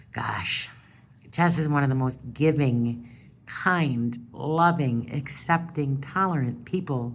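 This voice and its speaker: A woman speaks at a fairly slow pace in a very deep, low voice with ordinary pitch variation. Audible room echo surrounds her. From Wisconsin. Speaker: caregiver of a sick partner. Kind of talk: personal appeal monologue. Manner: loud; halting.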